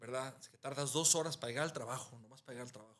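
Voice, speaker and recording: The man's voice has a bright, sharp tone. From Mexico, Guadalajara (Jalisco). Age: 60s. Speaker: architect. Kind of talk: interview conversation. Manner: halting, with repetitions.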